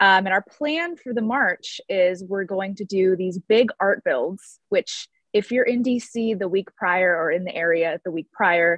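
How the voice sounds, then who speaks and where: A woman at a fairly slow pace with ordinary pitch variation, dry sound with no echo and a quiet background. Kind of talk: keynote talk on a video call. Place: home room. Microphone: video call.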